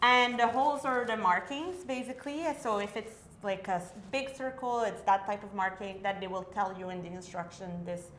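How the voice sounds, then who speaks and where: Amid noticeable background noise and audible room echo, a woman with a French accent talks at a medium pitch and moderate pace with ordinary pitch variation. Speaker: vintage sewing enthusiast. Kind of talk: casual tutorial chat.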